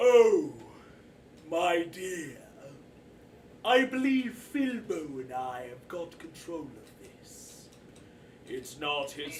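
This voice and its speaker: Putting on a character voice with a high pitch, a man speaks at a very slow pace with long, frequent pauses over clear background noise. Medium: actual play. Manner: courteous, genteel.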